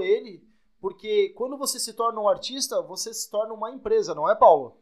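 A man speaks with ordinary pitch variation. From Santa Catarina, Brazil. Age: 20s. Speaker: podcast co-host, business administrator and DJ. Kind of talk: casual podcast chat.

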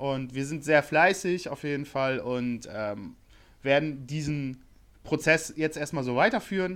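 Fairly slow in pace, a man with an ordinary speaking voice and a fairly high pitch talks with ordinary pitch variation. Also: very clean recording, silent background. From Bremen, northern Germany. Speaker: customer support worker. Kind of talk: casual chat.

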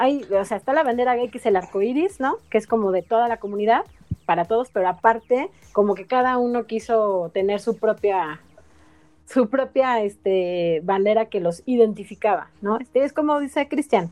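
A woman talks in a normal speaking voice at a fairly high pitch. Her pace is moderate and her pitch varies in an ordinary way. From Mexico City. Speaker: stand-up comedian and geographer. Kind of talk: casual chat.

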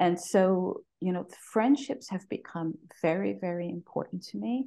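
Her tone dark and mellow, a woman speaks at a fairly low pitch. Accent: American. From New York City (Bronx). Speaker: podcast guest. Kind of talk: casual interview. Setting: video call.

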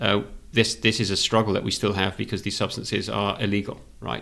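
The recording is very clean, with a silent background. A man speaks at a fairly quick pace and a fairly low pitch, with vocal fry. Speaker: podcast co-host. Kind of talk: casual interview conversation.

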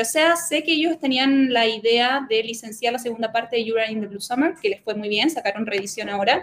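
Noticeable background noise sits under a woman's fairly high-pitched voice. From Chile. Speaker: manga youtuber and instagramer. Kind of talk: casual chat.

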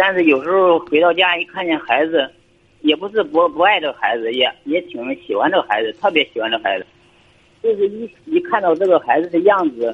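A man speaks at a fairly quick pace and a high pitch. His intonation is lively. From Shandong, Weihai. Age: 30s. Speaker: caller. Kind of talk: call-in advice chat.

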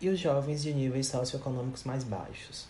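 Here a man speaks at a moderate pace in a dark, mellow tone. His voice is somewhat breathy, with audible room echo. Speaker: podcast host, psychologist. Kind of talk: interview. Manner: scripted.

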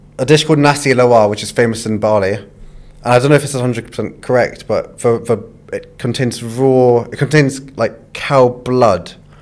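With a London accent, a man at medium pitch speaks at a moderate pace with fairly even intonation. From London, England. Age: 20s. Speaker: food content creator. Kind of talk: casual chat. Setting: studio.

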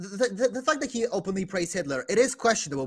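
A man at a very fast pace and high pitch, with music in the background. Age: 20s. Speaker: youtuber and podcast co-host. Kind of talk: casual chat. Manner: halting.

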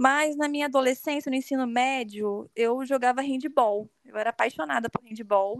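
A woman's high-pitched voice with lively intonation at a moderate pace, dry and close with no echo, over a quiet background. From Brazil, Rio de Janeiro state (São Pedro da Aldeia). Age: 30s. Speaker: endodontist. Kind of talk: casual interview.

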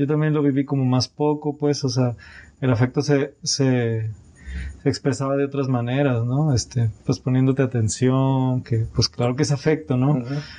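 At a moderate pace, a man with a medium pitch and a dark, mellow tone keeps his loudness very even and his intonation fairly even. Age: 30s. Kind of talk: casual chat. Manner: halting, repeats words.

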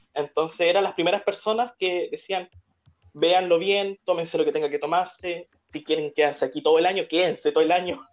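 Fairly quick in pace, a woman speaks at a fairly low pitch. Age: 20s. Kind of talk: live stream interview chat.

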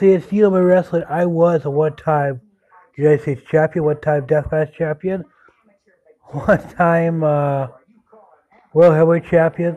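A speaker talks at a fairly slow pace, with long, frequent pauses and fairly even intonation. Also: man, fairly high pitch for a man. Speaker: pro wrestler. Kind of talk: wrestling promo, a self-recorded tribute thanking legends and promoters.

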